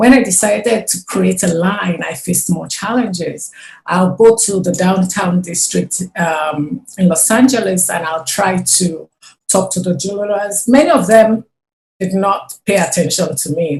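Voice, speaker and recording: A woman's somewhat breathy voice at a medium pitch, with a non-native accent and a fairly slow pace. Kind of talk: interview.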